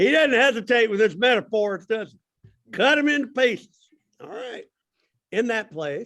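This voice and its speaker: Pitched extremely high, a man with a Southern US accent talks in a bright, sharp tone with lively intonation and big swings in loudness. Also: moderate pace. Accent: US South. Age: 60s. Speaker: Sunday school teacher. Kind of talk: bible class discussion.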